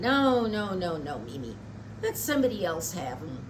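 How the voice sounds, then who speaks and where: A woman does a put-on character voice, rumbling and fairly low in pitch, at a moderate pace. Her loudness swings a lot, and there is loud background noise. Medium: read story. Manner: grumbling, sour.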